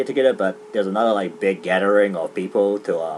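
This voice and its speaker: A man with a New Zealand accent talks at a fairly low pitch. Noticeable background noise is present. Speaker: gaming commentator. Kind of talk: casual chat. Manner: halting, many fillers; fast.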